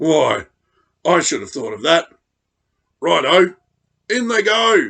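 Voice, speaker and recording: Using a put-on character voice, a man speaks in a raspy, sing-song way at a high pitch and a fairly slow pace. His loudness swings in big ways. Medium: read story. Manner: jaunty, sing-song.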